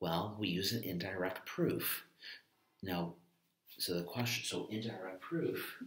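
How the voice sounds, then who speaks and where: A soft-spoken man talks at a fairly slow pace with a very deep, low pitch. His intonation is fairly even, his loudness very even, and he pauses long and often. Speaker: math teacher. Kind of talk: lecture.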